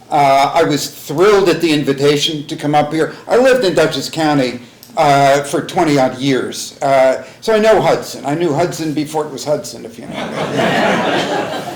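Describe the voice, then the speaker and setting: With an American accent, a man talks at a moderate pace with hardly any pauses, his pitch fairly high. Audible room echo and noticeable background noise surround him. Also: ordinary pitch variation. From New York City. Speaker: historian and author. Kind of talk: public lecture. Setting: library talk with audience. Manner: loud; halting.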